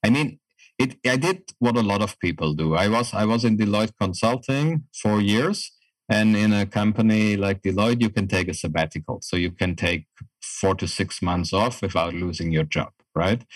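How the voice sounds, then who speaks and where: Speaking at a moderate pace, a man keeps a fairly low pitch with ordinary pitch variation. His loudness stays very even. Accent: German. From Germany, rural small town. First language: German. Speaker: project management consultant. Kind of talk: interview. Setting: remote call.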